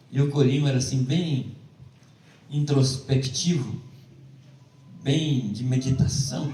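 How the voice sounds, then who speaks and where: A man with a fairly high pitch speaks amid audible room echo. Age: 70s. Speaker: preacher. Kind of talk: sermon.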